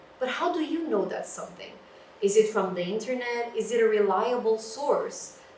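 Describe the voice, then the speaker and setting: A woman is speaking. Audible room echo and noticeable background noise fill the recording. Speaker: librarian. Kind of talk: lecture. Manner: loud. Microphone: no microphone, room sound.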